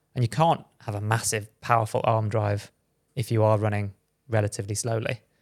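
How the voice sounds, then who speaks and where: A man of medium pitch talks at a fairly quick pace in a British accent. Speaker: podcast host, former pro runner. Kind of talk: casual chat. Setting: studio.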